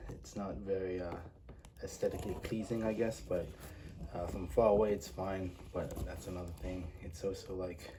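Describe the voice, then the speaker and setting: A moderate pace, with noticeable background noise. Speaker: toy collector reviewer. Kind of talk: product review. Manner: halting, many fillers; casual.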